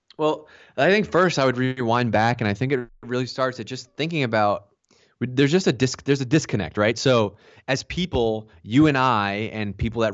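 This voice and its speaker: A man in an ordinary speaking voice, with ordinary pitch variation and a moderate pace. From Boston, US. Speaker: marketing executive. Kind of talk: podcast interview. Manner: casual, repeats words.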